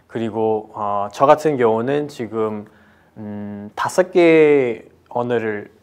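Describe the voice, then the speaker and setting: In a quiet background, a man speaks at a medium pitch with ordinary pitch variation. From Nepal. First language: Nepali or another Nepalese mother tongue (speaking Korean). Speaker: lecturer on cultural diversity. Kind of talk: lecture. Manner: halting, with many fillers.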